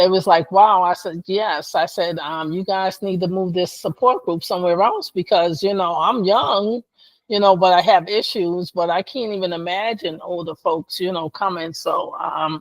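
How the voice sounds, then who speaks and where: A woman with an ordinary speaking voice talks at a moderate pace and medium pitch, with hardly any pauses and fairly even intonation. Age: 60s. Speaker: lupus patient and advocate. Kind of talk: interview.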